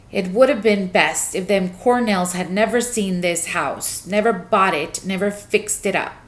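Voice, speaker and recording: A growling, female-sounding put-on character voice at a middle pitch moves at a moderate pace with hardly any pauses. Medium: read story. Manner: muttering to himself, grim.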